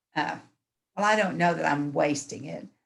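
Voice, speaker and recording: Vocal fry marks this woman's fairly low voice as she speaks at a fairly slow pace. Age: 80s+. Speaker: class participant, retired amateur painter. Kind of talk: casual chat. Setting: video call.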